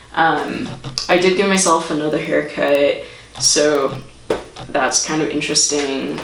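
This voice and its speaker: Fairly slow speech from a woman, with noticeable background noise and audible room echo. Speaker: vlogger. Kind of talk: vlog update. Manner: casual, hesitant with many fillers.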